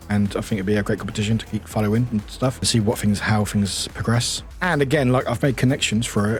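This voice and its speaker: Over background music, a man with a fairly low pitch talks very fast, hardly pausing at all. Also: ordinary pitch variation. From England, Southampton. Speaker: streamer. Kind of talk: casual chat. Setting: live stream. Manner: halting.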